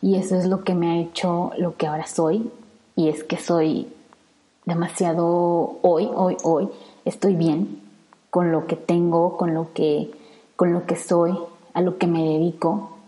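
Very slow speech from a woman with a fairly low pitch, ordinary pitch variation, and long, frequent pauses. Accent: central Mexican. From Mexico, Salamanca, Guanajuato. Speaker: environmental engineer and podcaster. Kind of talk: solo podcast monologue. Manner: hesitant, many fillers.

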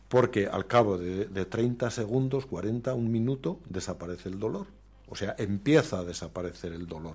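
A man talks at a moderate pace with lively intonation and a fairly low pitch. His voice is somewhat breathy against a quiet background. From Spain, Aragón (Zaragoza province). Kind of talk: radio interview.

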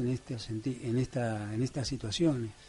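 His tone is dark and mellow, and somewhat breathy. The man keeps a moderate pace. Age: 60s. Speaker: local political candidate. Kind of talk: radio interview. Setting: radio studio.

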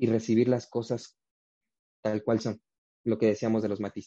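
A man's fairly low, dark, mellow voice in a flat monotone, with a dry, close sound and no echo. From Mexico, Oaxaca (Huajuapan de León). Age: young. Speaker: actor. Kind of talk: interview. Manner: halting, many repeated words.

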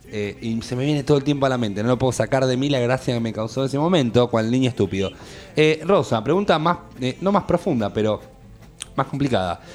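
With music in the background, a man talks at a fairly quick pace, his medium pitch carrying lively intonation. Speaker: radio host. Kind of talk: casual chat.

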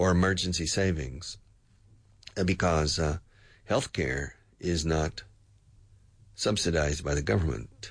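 Against a quiet background, a man with an American accent speaks in a very deep, low pitch with vocal fry and ordinary pitch variation. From US South. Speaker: radio host and English teacher. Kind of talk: news commentary for English learners. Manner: hesitant, many fillers.

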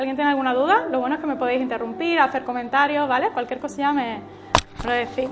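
A woman speaks at a very fast clip in a high voice. There is noticeable noise in the background. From Spain, Málaga. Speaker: church workshop leader. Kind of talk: workshop teaching. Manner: animated.

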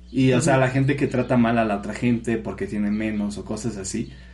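A man talks fairly quickly, and audible room echo surrounds his voice. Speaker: podcast co-host. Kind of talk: casual chat.

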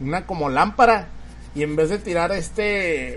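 With ordinary shifts in pitch, a man talks in a high voice. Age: 30s. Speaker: podcast host. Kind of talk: casual chat.

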